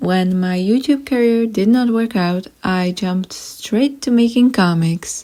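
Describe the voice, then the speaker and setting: Hardly pausing, the speaker talks at a fairly slow pace with an Eastern European accent and a dark, mellow tone. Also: woman, fairly high pitch for a woman, ordinary pitch variation. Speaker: YouTuber and artist. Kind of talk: storytime narration. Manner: animated.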